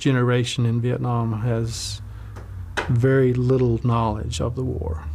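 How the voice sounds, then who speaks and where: A somewhat breathy man with a North Carolina accent and a dark, mellow tone, at a very slow pace. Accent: Southern US, North Carolina. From Wilkes County, North Carolina. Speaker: Baptist minister, former logger. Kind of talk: oral history interview answer.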